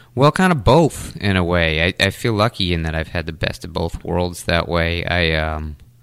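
On a very clean recording with a silent background, a man with an American accent talks at a fairly slow pace in a very deep, low voice. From Taunton, Massachusetts (New England). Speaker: musician and music teacher. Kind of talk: casual interview. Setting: studio.

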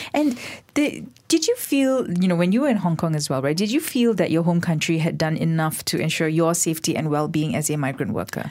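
Using an unremarkable speaking voice, a woman talks at a fairly quick pace with a fairly low pitch and lively intonation. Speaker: radio host. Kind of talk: interview. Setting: studio.

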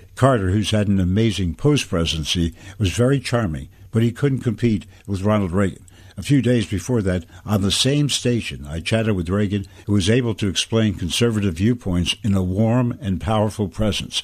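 A man talks in an unremarkable speaking voice, fairly low in pitch, keeping a moderate pace and ordinary pitch variation. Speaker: radio commentator. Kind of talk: news commentary read aloud, newsreading. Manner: measured, formal, steady broadcaster delivery.

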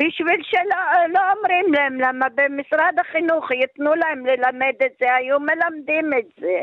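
This woman's voice is high, with ordinary pitch variation. Her loudness stays very even and she hardly pauses. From Yugoslavia. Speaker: Holocaust survivor. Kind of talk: radio interview. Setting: phone call. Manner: halting.

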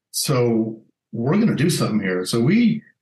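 In an American accent, a man speaks at a medium pitch with a somewhat breathy voice. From Colorado, Alamosa. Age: 50s. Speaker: former football coach and HR executive. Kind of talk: interview.

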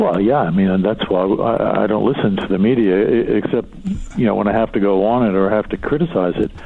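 Over noticeable background noise, a man with a fairly low pitch talks at a fairly quick pace, his loudness very even and his pitch variation ordinary. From Philadelphia. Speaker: author and business executive. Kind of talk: interview.

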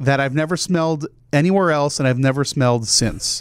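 A man with an ordinary speaking voice and a fairly high pitch talks at a moderate pace. The recording is very clean, with a silent background. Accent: American. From New Jersey. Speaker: podcast host. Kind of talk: casual interview chat.

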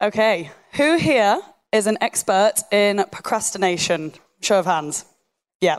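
With a Yorkshire accent, a woman at medium pitch talks fairly slowly with lively intonation, very even loudness and long, frequent pauses. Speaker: site engineer and online fitness coach. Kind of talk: live talk to an audience. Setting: stage with audience.

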